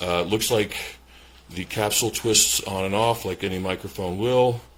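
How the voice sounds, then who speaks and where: Over noticeable background noise, a man speaks fairly quickly at a fairly low pitch. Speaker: product reviewer. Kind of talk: product review. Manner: hesitant, many fillers.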